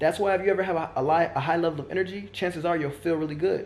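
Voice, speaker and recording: This is a man whose voice is fairly high in pitch. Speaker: spiritual content creator. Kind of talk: casual monologue to camera. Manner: fast; halting with restarts.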